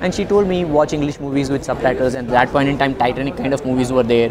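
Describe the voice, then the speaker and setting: Over noticeable background noise, a man speaks very fast, his pitch varying in an ordinary way. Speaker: guest. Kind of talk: interview answer. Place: hall.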